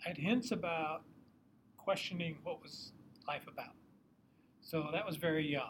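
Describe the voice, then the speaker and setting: A man with a high voice speaks at a moderate pace, using ordinary pitch variation and leaving long, frequent pauses. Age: 70s. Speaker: retired psychology professor and therapist. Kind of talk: casual chat. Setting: in person.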